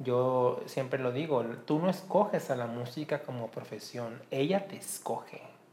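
In an unremarkable speaking voice, a man talks at a fairly slow pace with a medium pitch and lively intonation. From Mexico, Colima. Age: 30s. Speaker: musicologist. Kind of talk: interview.

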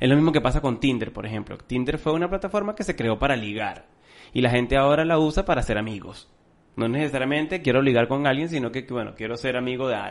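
This man's pitch sits at a medium level with ordinary variation. He talks at a very fast pace. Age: 30s. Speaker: marketing podcast co-host. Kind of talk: casual chat. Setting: recording room.

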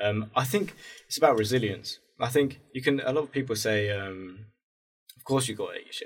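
A man with a British accent, somewhat breathy at medium pitch, with ordinary pitch variation, a moderate pace and big swings in loudness. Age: 20s. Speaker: aspiring filmmaker. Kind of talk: casual chat.

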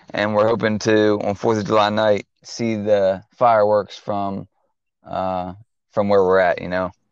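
An ordinary speaking voice goes at a moderate pace against a quiet background. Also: man. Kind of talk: casual banter podcast chat. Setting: remote call with weaker audio.

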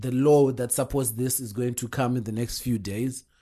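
A moderate pace with a Zimbabwean accent over a quiet background. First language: Shona. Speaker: podcast co-host. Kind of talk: casual chat.

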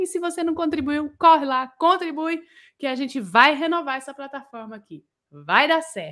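With a bright, sharp tone and an animated delivery, a woman speaks high-pitched at a moderate pace, her pitch varying in an ordinary way and her loudness swinging widely, all on a very clean recording with a silent background. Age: 30s. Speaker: lighting designer and show host. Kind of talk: livestream talk show hosting.

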